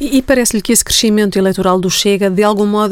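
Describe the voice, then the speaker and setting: Rattling along at a very fast pace, a woman speaks at a medium pitch with fairly even intonation. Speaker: journalist. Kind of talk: radio interview.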